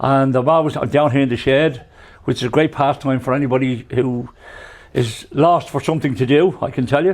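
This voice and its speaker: At a moderate pace, a man with a Dublin accent talks at a fairly high pitch, with fairly even intonation and very even loudness. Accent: Dublin Irish. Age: 70s. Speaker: retired firefighter, truck driver. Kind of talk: interview.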